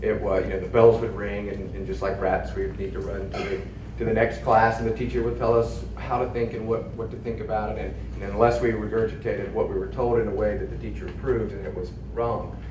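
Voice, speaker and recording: With a Southern US accent, a man talks at a very fast pace amid noticeable background noise and audible room echo. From US South, southern Virginia. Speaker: school district administrator. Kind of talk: panel discussion.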